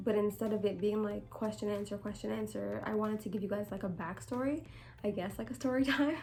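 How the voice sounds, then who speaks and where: A woman talks quietly at a very fast pace, with a medium pitch, ordinary pitch variation and audible room echo. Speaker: vlogger. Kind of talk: casual chat. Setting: at home, late night.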